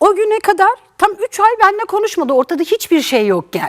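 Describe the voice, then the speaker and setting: Her pitch swings very widely and her tone is animated. The sound is dry and close with no echo, though background noise is noticeable. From eastern Turkey (Erzincan family). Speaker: talk show guest. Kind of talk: testimony.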